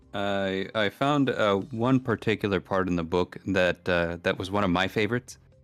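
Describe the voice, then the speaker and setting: A fairly low-pitched man speaks at a moderate pace with ordinary pitch variation, the sound dry and close with no echo and music in the background. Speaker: horror podcast guest. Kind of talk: reading aloud; casual chat.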